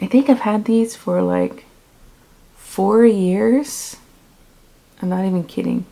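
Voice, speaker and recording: Clear background noise accompanies a woman talking somewhat unhurriedly. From US, Maryland. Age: 30s. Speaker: planner vlogger. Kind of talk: tutorial.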